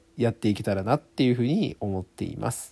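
The tone of this man's voice is dark and mellow. He uses ordinary pitch variation. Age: 20s. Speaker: amateur podcaster. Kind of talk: casual monologue.

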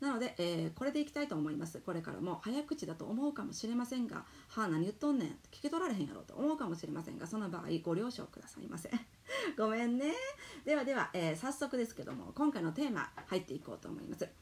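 At a very fast pace, a woman talks in a fairly high pitch with very wide pitch swings. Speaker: podcast host, entrepreneur mom. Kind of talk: solo talk monologue. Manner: loud, animated.

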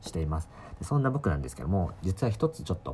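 Somewhat breathy, the voice comes through. Its tone is dark and mellow. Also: man. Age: 20s. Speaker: solo podcaster, university student. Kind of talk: casual solo monologue. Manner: hesitant, many fillers.

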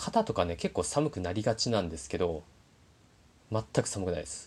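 Lively intonation at a moderate pace, on a very clean recording with a silent background. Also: man. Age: 30s. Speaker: podcaster. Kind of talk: casual monologue.

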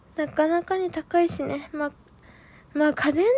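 A woman speaks in an animated tone at a moderate pace. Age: 20s. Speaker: solo podcaster. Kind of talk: casual monologue.

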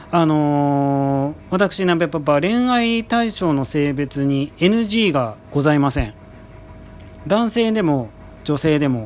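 A man with a fairly high pitch speaks very slowly, his voice swinging very widely in pitch. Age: 30s. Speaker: podcast host. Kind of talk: casual monologue. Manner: polite, many filler words.

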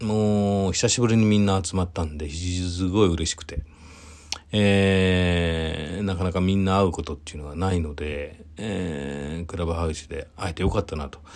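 Over noticeable background noise, a man with a very deep, low pitch speaks at a moderate pace in a relaxed tone with fairly even intonation. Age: 40s. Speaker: event producer. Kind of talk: solo talk monologue. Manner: relaxed, many fillers.

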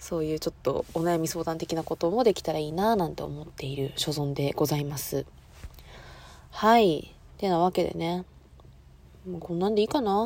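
A woman with a fairly low pitch talks at a moderate pace, with ordinary pitch variation. She leaves long, frequent pauses. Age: 20s. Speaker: student podcaster. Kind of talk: casual monologue.

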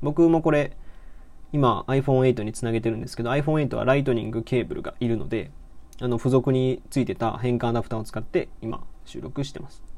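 A man speaks at a fairly quick pace with fairly even intonation. His loudness swings widely. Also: medium pitch for a man. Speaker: podcaster and blogger. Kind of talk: casual solo talk. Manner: halting, many fillers.

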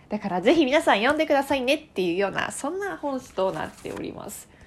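Her high-pitched voice moves through very wide pitch swings. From Tokyo, Japan. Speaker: podcast host. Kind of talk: casual solo talk.

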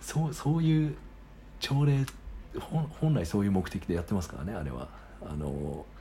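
With audible room echo, a man speaks in a very deep, low voice at a moderate pace. His pitch swings very widely, and he leaves long, frequent pauses. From Japan, Sagamihara (Kanagawa). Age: 30s. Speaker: podcaster. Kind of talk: solo casual monologue. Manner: halting, many fillers.

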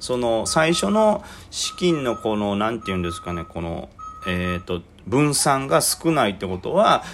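Over music in the background, the speaker talks at a fairly slow pace with very wide pitch swings. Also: man, medium pitch for a man. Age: 30s. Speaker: amateur stock trader podcaster. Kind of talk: casual solo talk. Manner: rambling with fillers.

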